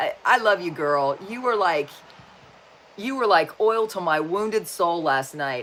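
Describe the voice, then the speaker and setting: Noticeable background noise sits behind an animated voice with lively intonation and an American accent. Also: woman. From Wyoming, US. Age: 60s. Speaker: spiritual and self-help YouTuber. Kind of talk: livestream chat reading viewer comments. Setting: live video stream. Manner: halting.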